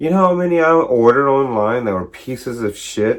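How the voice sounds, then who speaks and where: Here is a normal speaking voice at a moderate pace. The recording is very clean, with a silent background. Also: man. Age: 40s. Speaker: DJ. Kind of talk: casual video monologue. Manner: casual, rambling with fillers.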